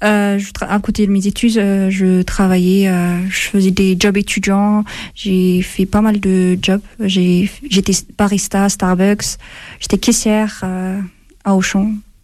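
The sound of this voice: A woman speaks at a fairly slow pace in a medium pitch, with little pitch movement and a slightly mellow tone.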